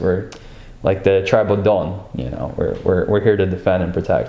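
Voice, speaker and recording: Audible room echo around a man with a fairly low pitch, a fairly quick pace, and fairly even intonation. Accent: American. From US, immigrant from Ukraine as a child. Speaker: interviewee in documentary. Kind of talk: interview. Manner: hesitant, many fillers.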